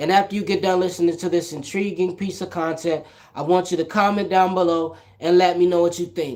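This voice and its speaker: A man talks at a moderate pace. His pitch is high. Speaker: podcast host. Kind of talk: casual solo podcast commentary.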